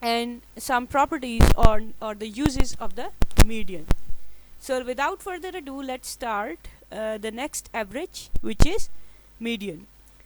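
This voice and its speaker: A woman with a Pakistani accent speaks at a fairly slow pace in a high voice that swings very widely in pitch. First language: Urdu. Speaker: statistics lecturer. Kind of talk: lecture. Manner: halting, many fillers.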